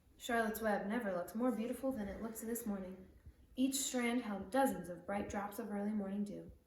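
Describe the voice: What you hear is plain reading aloud.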